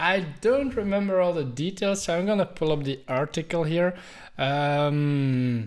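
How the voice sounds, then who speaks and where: On a very clean recording with a silent background, a man with a non-native accent speaks high-pitched at a fairly slow pace with lively intonation. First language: not English. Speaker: IT podcast co-host. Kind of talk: casual chat.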